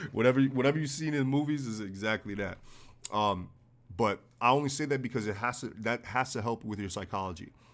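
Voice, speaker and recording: Talking at a very fast pace, a man with a New York accent keeps a medium pitch and ordinary pitch variation. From US Northeast, New York City. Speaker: forex trading educator. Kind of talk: live-stream trading analysis. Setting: live stream. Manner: blunt, casual.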